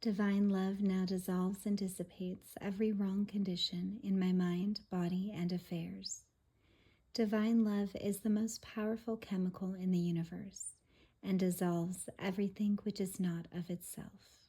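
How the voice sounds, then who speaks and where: Soft-spoken and somewhat breathy, a woman talks at medium pitch and a moderate pace in a soothing, dark, mellow tone with monotone, flat intonation. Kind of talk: soft-spoken reading of quotes and affirmations for relaxation. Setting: home recording for relaxation and sleep. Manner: soft-spoken, soothing.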